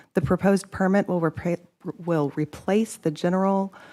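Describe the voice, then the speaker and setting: A soft-spoken woman with a dark, mellow tone talks at a fairly quick pace with fairly even intonation, in a very clean recording with a silent background. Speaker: state agency staff. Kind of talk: formal presentation at a public meeting.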